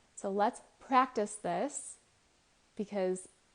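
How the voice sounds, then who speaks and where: A woman speaks at a medium pitch in a soothing tone, with ordinary pitch variation. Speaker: Reiki master teacher and meditation guide. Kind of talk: calm guided meditation. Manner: slow, soothing, with pauses.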